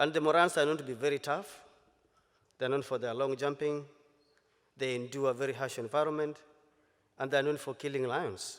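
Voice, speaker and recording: A man with a Kenyan accent, medium pitch, ordinary pitch variation and a fairly quick pace. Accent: Kenyan Maasai-accented English. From Kenya, Maasai community. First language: Maa (Maasai); Swahili second. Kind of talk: conference keynote talk.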